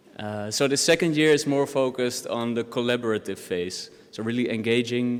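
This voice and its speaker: A man speaks with a Dutch accent. His pace is moderate and his pitch variation ordinary. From Netherlands. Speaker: doctoral researcher. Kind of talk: academic presentation.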